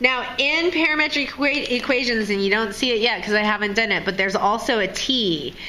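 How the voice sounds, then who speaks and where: Amid noticeable background noise and audible room echo, a woman speaks at a moderate pace and a fairly high pitch with lively intonation. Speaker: high school math teacher. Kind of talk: tutorial. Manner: casual.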